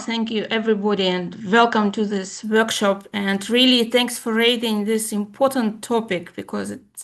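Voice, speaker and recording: The speaker keeps a moderate pace with hardly any pauses and fairly even intonation. The background is quiet. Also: woman. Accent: Russian. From former USSR. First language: Russian. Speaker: evaluation expert. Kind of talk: presentation.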